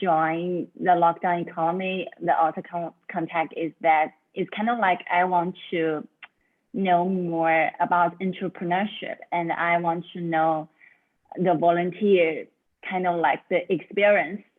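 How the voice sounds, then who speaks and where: A woman's fairly low pitch in a Chinese accent, fairly slow and with fairly even intonation. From China. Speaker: student volunteer. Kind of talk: self-introduction in online meeting. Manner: halting.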